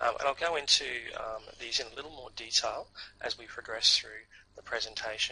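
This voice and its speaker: A man with a strong North Queensland accent, fairly quick in pace, with big swings in loudness. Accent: strong Australian (North Queensland). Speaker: university representative. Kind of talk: presentation. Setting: online seminar. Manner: hesitant, frequent fillers.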